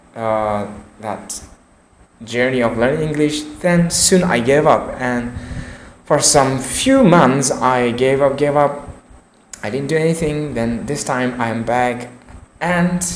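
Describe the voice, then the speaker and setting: A man at a very slow pace, with long, frequent pauses, noticeable background noise and audible room echo. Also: medium pitch for a man, ordinary pitch variation. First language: not English. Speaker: English learner vlogger. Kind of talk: unscripted monologue practicing English. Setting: recording alone to camera. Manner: halting.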